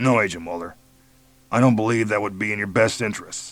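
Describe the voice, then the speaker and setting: A man's raspy put-on character voice, very fast and at a fairly low pitch. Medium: read story. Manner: blank, unemotional.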